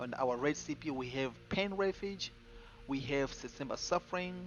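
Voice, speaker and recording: His pace is moderate. The man's pitch shifts by an ordinary amount. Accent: non-native. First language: not English. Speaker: gaming streamer. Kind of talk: game build tutorial. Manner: casual, repetitive with fillers.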